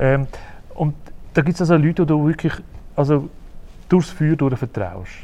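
Pausing long and often, a man with a Zurich accent speaks at a moderate pace, his fairly high pitch showing ordinary variation and a dark, mellow tone. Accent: Swiss German (Zurich). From Switzerland, Uster (Zurich Oberland). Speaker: interviewer. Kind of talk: interview. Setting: theatre hall.

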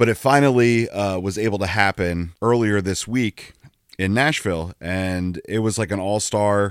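A man talks at a moderate pace with ordinary pitch variation in an unremarkable speaking voice. The recording is very clean with a silent background, and the sound is dry and close with no echo. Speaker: podcast co-host. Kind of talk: casual banter podcast chat. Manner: joking, wry.

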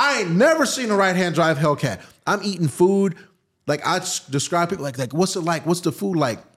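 On a very clean recording with a silent background, a man talks in an animated tone. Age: 30s. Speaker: car content creator and drifter. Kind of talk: casual chat. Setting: outdoors.

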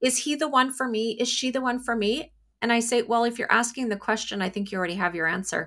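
Speaking at a very fast pace, a woman has a fairly high pitch and a bright, sharp tone with ordinary pitch variation. The recording is very clean, the background silent. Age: 40s. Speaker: psychic medium. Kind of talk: casual chat.

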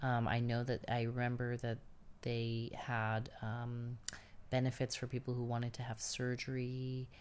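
The speaker talks at a fairly slow pace with a New York accent. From New York City, Queens. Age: 30s. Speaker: oral history interviewee. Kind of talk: oral history interview.

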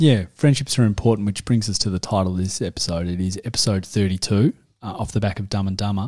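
With an Australian accent, a man talks at a fairly quick pace and ordinary pitch variation. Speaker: podcast co-host, parent. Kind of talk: casual chat. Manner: jokey, laughs often.

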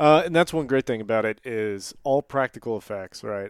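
On a very clean recording with a silent background, a man with an unremarkable speaking voice talks at a fairly quick pace and fairly low pitch, in a dry, close sound with no echo. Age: 30s. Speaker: podcast host. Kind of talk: casual chat.

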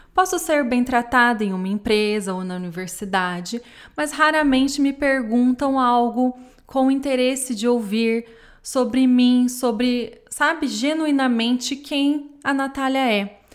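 Ordinary pitch variation in a woman's high voice, delivered at a fairly slow pace. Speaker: podcast host. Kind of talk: reflective monologue.

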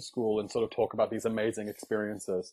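With a southern English accent, a man talks at a fairly quick pace. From southern England, raised in County Durham. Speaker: musical theatre actor. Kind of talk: casual chat. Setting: video call. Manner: soothing.

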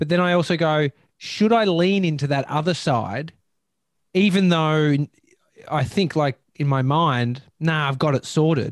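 A man with an Australian accent speaks at a fairly slow pace and very even loudness, the sound dry and close with no echo. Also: fairly high pitch for a man, ordinary pitch variation. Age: 30s. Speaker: podcast host. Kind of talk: casual chat.

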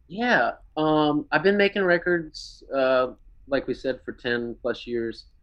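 With lively intonation and a fairly high pitch, a man speaks very slowly in a Texan accent. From Texas, Lake Jackson area south of Houston. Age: 30s. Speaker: musician. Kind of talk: casual chat.

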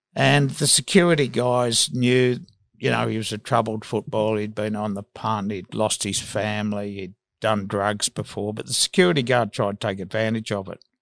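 A man with an Australian accent and fairly low pitch, on a very clean recording with a silent background and a dry, close sound with no echo. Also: ordinary pitch variation, moderate pace. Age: 60s. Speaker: sports journalist. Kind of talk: casual interview.

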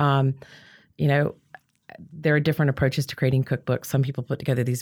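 Recorded very cleanly with a silent background, a woman speaks at a very deep, low pitch. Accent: Southern US. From US South (Georgia, Louisiana). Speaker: chef and cookbook author. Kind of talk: casual interview.

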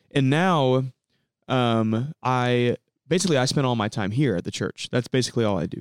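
A man's fairly quick, medium-pitched speech in an American accent. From US Midwest, central Illinois. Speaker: student worship leader. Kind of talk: casual chat. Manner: halting.

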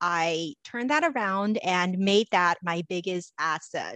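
A woman's unremarkable speaking voice with ordinary pitch variation, in a dry, close sound with no echo. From Los Angeles, US; immigrant child. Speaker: confidence coach and speaker. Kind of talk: interview conversation.

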